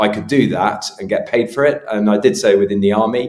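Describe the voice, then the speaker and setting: With a British accent, the speaker moves at a fairly quick pace with ordinary pitch variation. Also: man. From UK. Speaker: travel safety consultant. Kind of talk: podcast interview. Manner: hesitant, many fillers.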